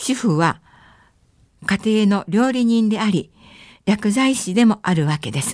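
Using lively intonation, a woman with a fairly high, somewhat breathy voice speaks at a fairly slow pace with long, frequent pauses, on a very clean recording with a silent background. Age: 70s. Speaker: travel journalist and lecturer. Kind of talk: radio lecture. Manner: formal, polite.

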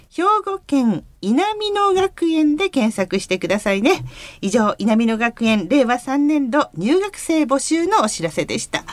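A woman's high-pitched voice with very wide pitch swings over noticeable background noise. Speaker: radio host. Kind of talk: radio show hosting and announcements. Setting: radio studio. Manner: polite, formal broadcast tone.

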